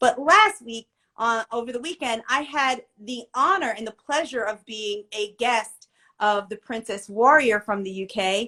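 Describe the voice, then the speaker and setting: At a fairly slow pace, a woman with an American accent speaks in a fairly high pitch with ordinary pitch variation, her tone animated, bright and sharp, and her loudness swinging widely. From Pennsylvania, US. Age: 40s. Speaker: live show host. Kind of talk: casual livestream chat.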